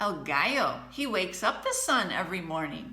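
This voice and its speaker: A woman uses a put-on character voice at a medium pitch and a moderate pace. Echo is audible around her. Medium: read story. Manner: scoffing, coaxing.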